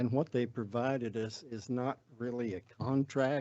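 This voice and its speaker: With fairly even intonation, a man speaks in a medium-pitched voice with an American accent. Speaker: city staff official. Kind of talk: public meeting presentation. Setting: city council meeting. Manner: halting, many fillers.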